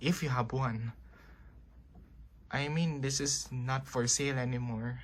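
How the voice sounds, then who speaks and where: A man speaks at a fairly slow pace in a somewhat breathy voice of medium pitch with ordinary variation. The recording is very clean, with a silent background. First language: not English. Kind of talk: casual tutorial talk to camera. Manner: hesitant, informal.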